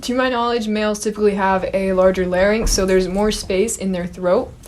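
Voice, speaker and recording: Her intonation fairly even, a woman speaks at a fairly quick pace in a medium pitch. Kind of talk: casual talk to camera. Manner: lowered, masculinized pitch.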